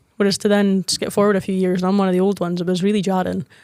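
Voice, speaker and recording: A woman's very fast speech in a northeast Scottish accent, medium in pitch, with fairly even intonation, on a very clean recording with a silent background. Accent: Scottish (Moray). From Scotland. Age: 20s. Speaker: women's football team captain. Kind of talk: podcast interview.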